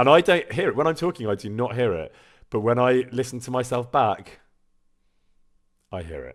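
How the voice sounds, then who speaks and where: A man speaks with lively intonation, big swings in loudness and long, frequent pauses, on a very clean recording with a silent background. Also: medium pitch for a man. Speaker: voice actor streaming a video game. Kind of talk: casual chat. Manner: fast.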